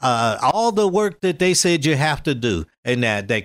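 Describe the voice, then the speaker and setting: A man with an American accent speaks at a fairly high pitch, his voice making very wide pitch swings. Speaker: civil rights leader. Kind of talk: interview.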